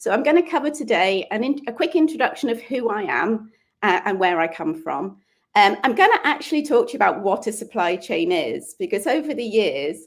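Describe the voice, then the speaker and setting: This woman talks at a fairly quick pace with a fairly high pitch. Her pitch swings very widely. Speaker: supply chain consultant and guest speaker. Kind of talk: online lecture presentation. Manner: fast.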